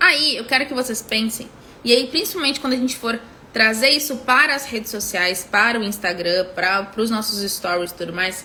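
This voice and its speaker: A woman with a southern Brazilian accent, a high pitch, lively intonation, a moderate pace, and noticeable background noise. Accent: gaúcho accent, somewhat heavy. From southern Brazil, Rio Grande do Sul (Porto Alegre). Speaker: business mentor. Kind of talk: live stream teaching. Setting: Instagram live. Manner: full, complete pronunciation of words; halting, many fillers and repetitions.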